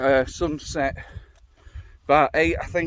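A man in a monotone, flat intonation, with a dry sound and no echo. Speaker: solo hiker vlogger. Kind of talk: casual vlog chat. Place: open country. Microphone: phone near.

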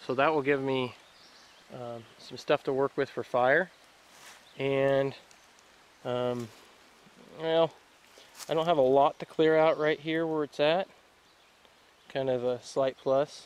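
A man's very slow speech with long, frequent pauses, in a dry sound with no echo. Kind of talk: casual vlog chat. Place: forest. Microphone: phone near.

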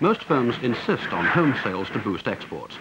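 A man with a British accent speaks at a moderate pace and medium pitch, his voice swinging very widely in pitch over noticeable background noise. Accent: British received pronunciation-style. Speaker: documentary narrator. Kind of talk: 1960s industrial documentary narration, polished and authoritative voiceover. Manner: formal, measured, crisp newsreel-style delivery.

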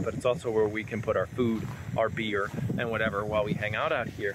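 A man speaks with a fairly low pitch and a fairly bright tone. His pace is fairly quick.

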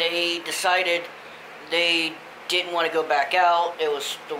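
A man's monotone, flat delivery at a fairly slow pace against noticeable background noise. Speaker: vlogger on a fishing trip. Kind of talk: casual vlog chat. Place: home room. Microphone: phone near.

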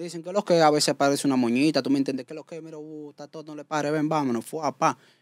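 A man talks at a very fast pace and fairly high pitch with fairly even intonation, big swings in loudness and a dry, close sound with no echo. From Dominican Republic, Santo Domingo (Villa Juana). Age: 20s. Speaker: celebrity impersonator. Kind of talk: casual interview. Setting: studio.

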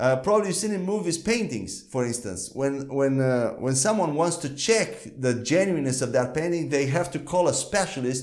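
This man speaks. His intonation is lively. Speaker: Bible teacher. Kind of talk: teaching lecture. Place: studio. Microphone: lapel.

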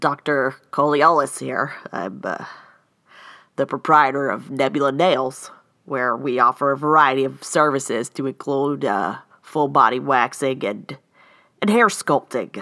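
In a cartoonish character voice, a woman speaks at a fairly slow pace with an extremely low pitch, a bright, sharp tone and ordinary pitch variation.

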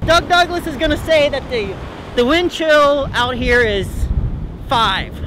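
A man speaks in a raised, projected voice with an extremely high pitch, ordinary pitch variation and a fairly slow pace, leaving long, frequent pauses, in a dry sound with no echo over noticeable background noise. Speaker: comedian doing a mock weather report. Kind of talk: comedic mock weather report, stand-up style sketch. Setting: outdoors on a cold beach. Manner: laughs often, playful and excitable. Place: beach.

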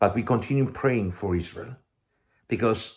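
A man with a Russian accent, medium pitch, ordinary pitch variation, a somewhat breathy sound and a moderate pace, over a quiet background. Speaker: missionary preacher. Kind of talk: video sermon and testimony. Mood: warm, smiling, earnest. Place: home room. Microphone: headset.

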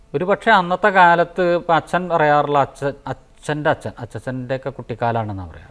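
Lively in intonation, a man with a fairly high pitch speaks with big swings in loudness. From Kerala, Palakkad district. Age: 50s. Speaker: temple sculptor. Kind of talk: interview. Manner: halting.

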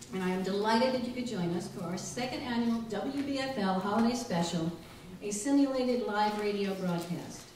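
Fairly high in pitch, a woman talks at a fairly quick pace. Room echo is audible, along with light background noise. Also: ordinary pitch variation. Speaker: library director. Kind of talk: live show introduction to audience. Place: hall.

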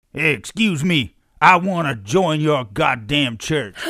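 Putting on a character voice, a man with a fairly high pitch speaks at a fairly slow pace with lively intonation on a very clean recording with a silent background. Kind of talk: comedic character dialogue. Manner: blunt, brusque.

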